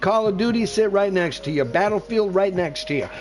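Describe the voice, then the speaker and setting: Over music in the background, a man speaks at a fairly quick pace in an animated tone. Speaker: gaming streamer. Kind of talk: live gameplay commentary.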